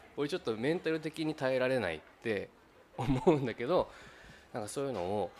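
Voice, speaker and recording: With noticeable background noise behind him, a man talks at a medium pitch. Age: 30s. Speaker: podcast host. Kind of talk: casual chat.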